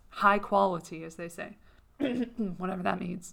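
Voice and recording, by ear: A woman's raspy, hoarse put-on character voice at a medium pitch and a moderate pace, with monotone, flat intonation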